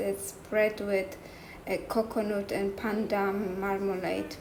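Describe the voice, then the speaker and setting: A woman's very slow, monotone, flat speech in a non-native accent, with noticeable background noise and audible room echo. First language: not English. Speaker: cooking vlogger. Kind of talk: cooking tutorial. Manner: halting.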